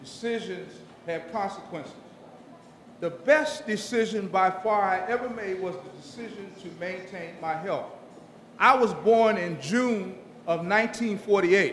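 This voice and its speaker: Amid noticeable background noise and audible room echo, a man with an American accent speaks fairly slowly at a high pitch, with ordinary pitch variation and big swings in loudness. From Washington DC. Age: 60s. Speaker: retiring federal government employee. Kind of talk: retirement speech.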